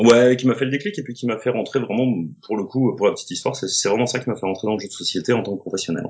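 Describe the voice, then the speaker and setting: A man speaks at a very fast pace in a medium-pitched voice. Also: ordinary pitch variation. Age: 30s. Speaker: board game illustrator. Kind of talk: casual interview. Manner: halting, many fillers.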